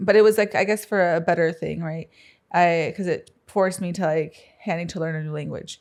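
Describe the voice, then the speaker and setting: A woman's fairly quick speech with fairly even intonation, on a very clean recording with a silent background. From US Midwest, Council Bluffs, Iowa. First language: Spanish. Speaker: entrepreneur. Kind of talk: interview. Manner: hesitant, many fillers.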